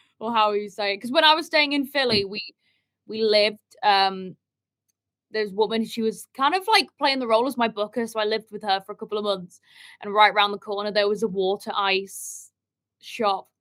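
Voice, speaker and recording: A woman's fairly high, fairly quick voice in an English accent, with ordinary pitch variation. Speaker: musician. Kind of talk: podcast interview.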